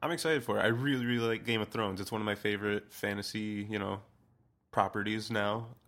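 A man with a plain, everyday voice speaks at a fairly low pitch and a fairly quick pace. The recording is very clean, with a silent background. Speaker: podcast panelist. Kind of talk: casual chat.

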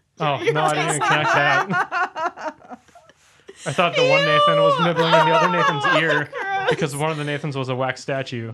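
A man with a Wisconsin accent at a moderate pace, over noticeable background noise. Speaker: podcast co-host.

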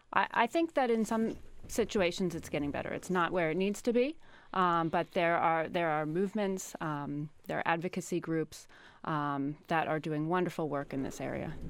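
Moderate pace and ordinary pitch variation from a woman with a fairly low pitch. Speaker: psychiatry professor. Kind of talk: radio interview. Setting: studio. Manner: hesitant, many fillers.

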